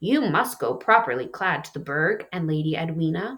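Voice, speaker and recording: The speaker uses a put-on character voice at a middle pitch and a moderate pace. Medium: read story. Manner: firm, commanding.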